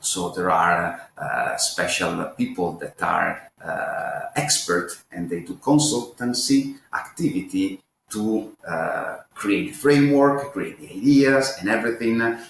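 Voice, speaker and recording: Talking at a very slow pace with hardly any pauses, a man's voice swings widely in loudness. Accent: Italian. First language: Italian. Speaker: author and researcher. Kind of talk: interview. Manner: halting, many fillers and repeats.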